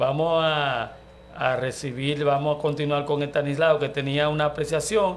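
Speaking at a moderate pace, a man uses an unremarkable speaking voice. His pitch sits fairly high. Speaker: radio show host. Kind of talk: radio talk show. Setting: radio studio.

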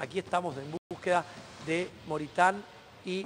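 There is light background noise behind a man with a high pitch. His intonation is fairly even. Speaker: TV field reporter. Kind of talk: live news commentary. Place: street.

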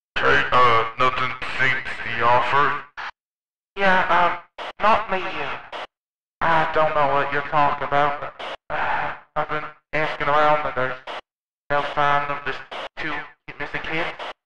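Using a put-on character voice, a man speaks at a moderate pace and a fairly high pitch, with long, frequent pauses. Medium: audio drama. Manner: hesitant, filler-heavy.

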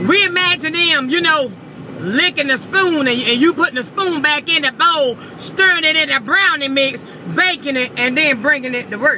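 Using a raised, projected voice, a woman speaks at a moderate pace with a dry sound, no echo and light background noise. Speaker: vlogger. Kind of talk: casual vlog rant. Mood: comic indignation. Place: car. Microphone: phone near.

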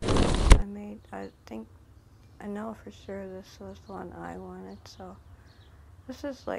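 Light background noise sits under a woman speaking at a fairly slow pace. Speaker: game player narrator. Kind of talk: casual game walkthrough commentary.

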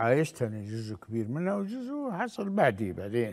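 Against a quiet background, the speech moves at a fairly slow pace. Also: man. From Libya. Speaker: lawyer and former politician; lawyer, former politician. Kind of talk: interview testimony. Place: studio.

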